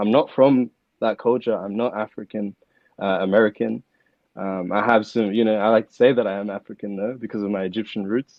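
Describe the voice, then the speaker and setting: This man's voice sits at a fairly low pitch. He moves at a fairly quick pace with fairly even intonation. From Melbourne, Australia. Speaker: hip-hop artist. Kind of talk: podcast interview. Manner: casual, many fillers.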